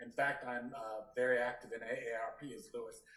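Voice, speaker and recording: A man with a medium-pitched voice talks at a fairly quick pace. Audible room echo fills the recording. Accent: American. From US South. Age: 70s. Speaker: workshop participant. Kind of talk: personal testimony. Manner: halting.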